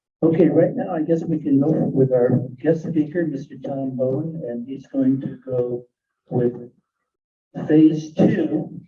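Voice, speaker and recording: A man at a very slow pace, with fairly even intonation. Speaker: chapter president. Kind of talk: meeting chairing. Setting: meeting room with microphone. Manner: soft-spoken.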